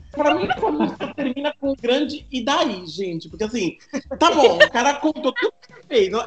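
A man's extremely high voice at a moderate pace, full of very wide pitch swings and big swings in loudness, with a dry, close sound with no echo and noticeable background noise. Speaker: podcast guest. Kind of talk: casual chat.

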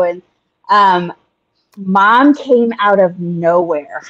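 A plain, everyday voice. The intonation is lively. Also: woman. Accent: American. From USA, raised traveling between churches. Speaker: evangelist's adult child, stand-in podcast host. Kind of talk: casual chat.

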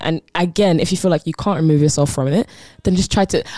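Music plays behind a woman with a fairly low pitch. Her pitch varies in an ordinary way, and the sound is dry and close with no echo. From South London, Croydon. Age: 20s. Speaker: guest sharing life testimony. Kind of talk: testimony. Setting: studio.

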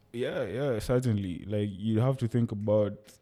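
A man speaks in a fairly low pitch with a dark, mellow tone. His pitch varies in an ordinary way. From Nairobi, Kenya. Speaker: DevOps engineer. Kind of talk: casual chat.

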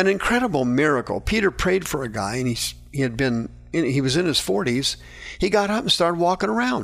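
This man speaks at a fairly high pitch and a fairly quick pace. His pitch swings very widely. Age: 60s. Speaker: radio preacher and counselor. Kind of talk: radio Bible teaching.

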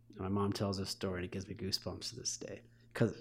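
A man with a Midwestern accent speaks at a fairly low pitch, somewhat breathy. The recording is very clean with a silent background. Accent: General American (Midwest). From Michigan, US. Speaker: football coach. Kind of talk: casual chat.

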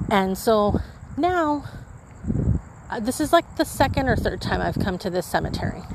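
A woman with an American accent talks at a moderate pace and fairly high pitch, with very wide pitch swings. Long, frequent pauses break her speech, and background noise is noticeable. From US Southwest, Imperial Valley, California. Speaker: podcast host. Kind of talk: casual monologue. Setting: outdoors in a cemetery at night. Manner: rambling, with self-repeats.

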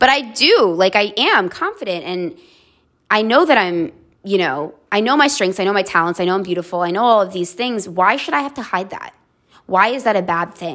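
This woman has a plain, everyday voice at a medium pitch. She keeps a moderate pace with lively intonation. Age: 30s. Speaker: podcast host, therapist. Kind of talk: solo monologue podcast. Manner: conversational, with filler words.

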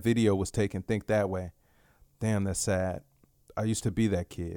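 This man has an unremarkable speaking voice with an American accent and fairly even intonation, recorded very cleanly against a silent background with dry, close sound and no echo. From Dallas, Texas (South Oak Cliff). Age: 20s. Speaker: podcaster. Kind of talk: solo casual monologue. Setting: home bedroom. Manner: relaxed, filler-heavy.

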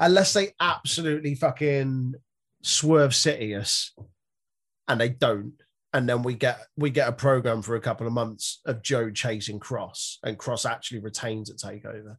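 Against a quiet background, a man with a British accent talks at a moderate pace in a medium pitch, with ordinary pitch variation. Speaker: wrestling podcast host. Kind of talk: casual banter. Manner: joking, animated.

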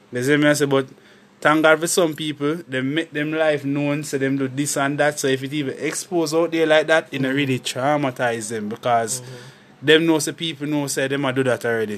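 Talking in a Jamaican accent, a man has a fairly high pitch. He moves at a fairly quick pace with ordinary pitch variation. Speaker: podcast co-host. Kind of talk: casual chat.

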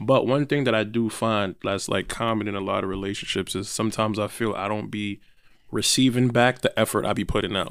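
A man's fairly low, a plain, everyday voice at a fairly quick pace, on a very clean recording with a silent background. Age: 20s. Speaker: podcast co-host guest. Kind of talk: casual chat.

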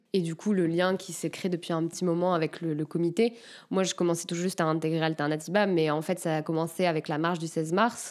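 Very fast and with fairly even intonation, a woman speaks at a fairly low pitch on a very clean recording with a silent background. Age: 20s. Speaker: environmental activist. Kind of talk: casual interview. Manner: hesitant, many filler sounds.

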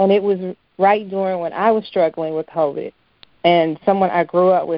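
A woman speaks in a fairly low pitch with a monotone, flat delivery. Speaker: podcast co-host. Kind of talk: interview. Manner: emotional.

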